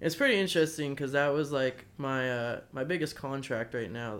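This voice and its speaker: With an American accent, an unremarkable speaking voice talks fairly fast, pitch shifting in a normal way. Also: man. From Arizona, US. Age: 20s. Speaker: action sports photographer. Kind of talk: casual chat. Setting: in person at host's house.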